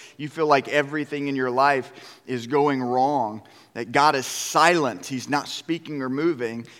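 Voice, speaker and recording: A man talks at a fairly slow pace. Noticeable background noise can be heard behind him. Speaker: worship pastor preaching. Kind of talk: sermon. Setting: church stage with congregation. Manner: animated, conversational with laughs.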